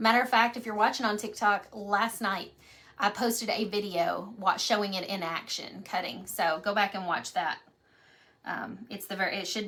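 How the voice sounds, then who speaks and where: A woman talks at a moderate pace. She has a Kentucky accent. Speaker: craft painting teacher. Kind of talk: live painting tutorial. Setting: live stream. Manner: casual, chatty.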